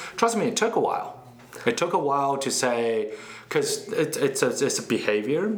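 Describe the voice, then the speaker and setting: With a Chinese accent, a man talks at a moderate pace, his pitch swinging very widely, amid audible room echo and noticeable background noise. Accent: Mandarin Chinese accent in English. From China (Beijing). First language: Mandarin Chinese. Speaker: startup CEO. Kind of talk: interview.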